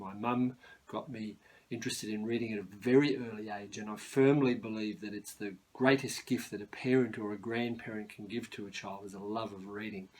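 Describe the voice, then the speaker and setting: A man with fairly low pitch speaks at a fairly quick pace and fairly even intonation. His loudness swings widely. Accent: Australian. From Sydney, Australia. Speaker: novelist. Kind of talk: author talk. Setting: at home, spare bedroom.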